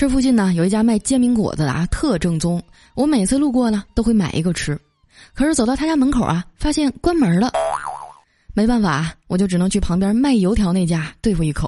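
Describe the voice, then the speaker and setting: Over music in the background, a woman speaks at a fairly quick pace with a fairly high pitch and an animated tone. Her pitch swings very widely while her loudness stays very even. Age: 20s. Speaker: podcast host. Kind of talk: comedic storytelling.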